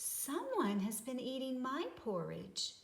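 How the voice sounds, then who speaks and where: A woman's put-on character voice, high-pitched and at a fairly slow pace. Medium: read story.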